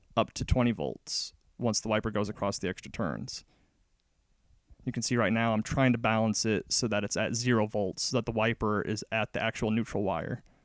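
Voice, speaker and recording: A man speaks at a moderate pace and a medium pitch. The recording is very clean with a silent background, and the sound is dry and close with no echo. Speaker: electronics hobbyist, recent graduate. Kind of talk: technical explanation over pictures. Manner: monotone.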